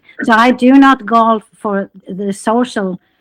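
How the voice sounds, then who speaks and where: A woman speaks with a Swedish accent in a fairly high pitch with ordinary pitch variation. The sound is dry and close, with no echo. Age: 80s+. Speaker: interviewee, golfer. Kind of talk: interview. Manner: halting.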